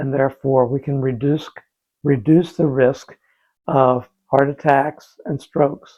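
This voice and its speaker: Fairly high-pitched man with fairly even intonation. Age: 60s. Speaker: senior health coach, YouTuber. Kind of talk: casual tutorial talk to camera. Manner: halting, many fillers.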